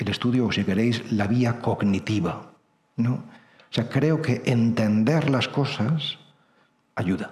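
Somewhat breathy and at a very slow pace, a man speaks at medium pitch with ordinary pitch variation and very even loudness, with audible room echo around him. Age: 50s. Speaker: priest and writer. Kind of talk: lecture.

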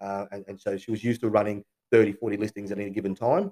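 With an Australian accent, a man speaks in a fairly low pitch with a dark, mellow tone and monotone, flat intonation, in a dry, close sound with no echo. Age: 40s. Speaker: real estate agency owner. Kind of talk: interview testimony. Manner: halting.

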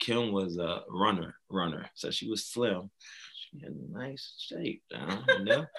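Speaking very slowly with vocal fry, a man at a fairly low pitch lets his pitch swing very widely and his loudness shift in big swings. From Augusta, Georgia. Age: 30s. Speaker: lawyer. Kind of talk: casual chat.

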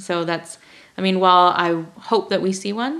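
A normal speaking voice from a woman with an American accent, medium in pitch with ordinary pitch variation, at a fairly quick pace. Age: 30s. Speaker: registered dietitian and diabetes educator. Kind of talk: casual interview conversation.

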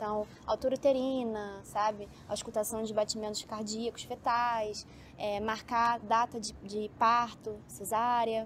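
Fairly high in pitch, a woman speaks at a fairly slow pace with hardly any pauses and a monotone, flat intonation. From Brazil, Rio de Janeiro. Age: 20s. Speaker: medical student. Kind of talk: casual interview. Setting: outdoors, building rooftop.

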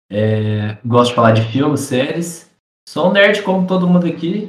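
A man talks fairly slowly in a somewhat breathy voice, his pitch swinging very widely. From Minas Gerais, Brazil. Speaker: barber. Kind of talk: casual chat. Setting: remote call.

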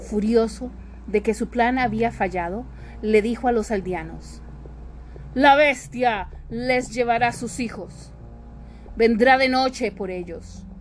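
Against music in the background, a woman with a warm tone and a fairly high pitch talks with ordinary pitch variation and long, frequent pauses. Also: moderate pace. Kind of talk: fairy-tale narration read aloud in English then Spanish, language-learning podcast. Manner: warm, affectionate, addressing listeners as loved ones; clear, measured, repeating for learners.

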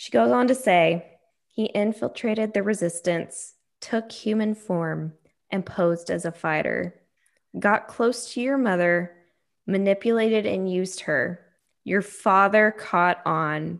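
The voice is an unremarkable speaking voice with ordinary pitch variation and a fairly slow pace, on a very clean recording with a silent background. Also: woman, medium pitch for a woman. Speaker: podcast host. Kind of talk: casual boozy chat with book reading.

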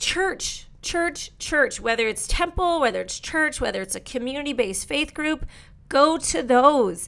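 A raised, projected voice comes through in a bright, sharp, animated tone. The intonation is lively and the pace moderate. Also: woman. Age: 40s. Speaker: dating coach and matchmaker. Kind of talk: casual advice monologue.

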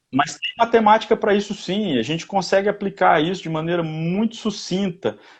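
A man talks with lively intonation over a quiet background. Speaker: personal development commentator. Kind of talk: casual chat.

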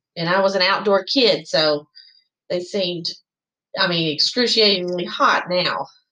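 Long, frequent pauses at a fairly slow pace, with a Southern US accent. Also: woman, medium pitch for a woman, ordinary pitch variation. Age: 50s. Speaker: chamber of commerce president. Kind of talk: interview.

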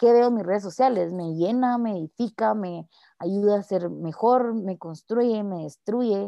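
Here is a woman at a medium pitch with ordinary pitch variation. It is a plain, everyday voice. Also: fairly slow pace. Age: 20s. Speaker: podcast guest sharing experience of suicidal thoughts. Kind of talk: testimony.

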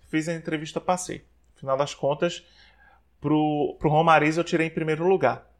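The recording is very clean, with a silent background. A man speaks at a fairly slow pace with a fairly high pitch. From Brazil, Maceió (Alagoas, Northeast). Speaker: psychologist. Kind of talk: interview.

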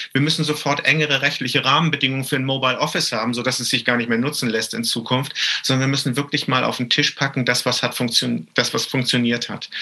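Over noticeable background noise, a man rattles along at a very fast pace with monotone, flat intonation. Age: 50s. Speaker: trade association executive. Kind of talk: panel discussion. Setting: home office, remote.

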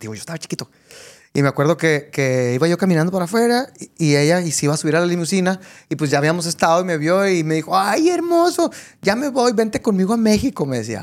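At a very fast pace, a high-pitched man speaks with very wide pitch swings. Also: very clean recording, silent background. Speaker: podcast host. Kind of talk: interview.

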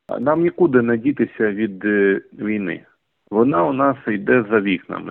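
Here is a man with a normal speaking voice at a medium pitch. His pitch varies in an ordinary way. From eastern Ukraine, Donetsk region. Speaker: journalist and volunteer. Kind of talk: interview.

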